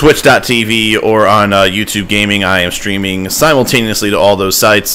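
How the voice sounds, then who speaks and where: Noticeable background noise behind a man speaking in an American accent. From Ohio, US Midwest. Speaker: gaming streamer. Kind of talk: live game stream chat. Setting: live stream at home computer. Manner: loud.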